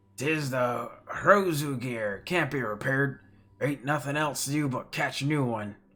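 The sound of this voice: On a very clean recording with a silent background, a man performs a put-on character voice with fairly high pitch at a moderate pace.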